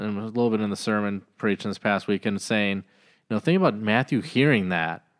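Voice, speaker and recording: A man with an unremarkable speaking voice talks at a medium pitch and a fairly quick pace with ordinary pitch variation, in a very clean recording with a silent background and a dry, close sound with no echo. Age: 30s. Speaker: pastor. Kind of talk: casual chat.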